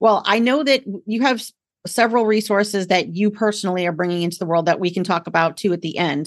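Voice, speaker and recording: A woman talks at a very fast pace with a warm, enthusiastic tone, a medium pitch, and ordinary pitch variation. The background is quiet. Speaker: podcast host. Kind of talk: casual chat. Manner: warm and enthusiastic.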